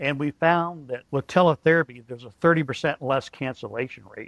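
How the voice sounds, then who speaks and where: In a plain, everyday voice, a man talks at a fairly quick pace with ordinary pitch variation, recorded dry and close with no echo. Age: 60s. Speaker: company founder. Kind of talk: podcast interview.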